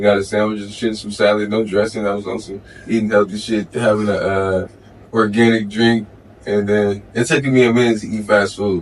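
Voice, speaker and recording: The man's pitch is fairly low and his intonation monotone and flat. He talks at a fairly quick pace. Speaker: tattoo artist and rapper. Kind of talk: casual chat. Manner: fast, slurred, stutters.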